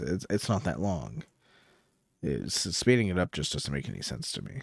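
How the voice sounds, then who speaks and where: A man speaks with a fairly low pitch and very wide pitch swings. The sound is dry and close with no echo, on a very clean recording with a silent background. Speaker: streamer reacting to videos. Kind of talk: live stream reaction commentary. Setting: live stream. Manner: slow.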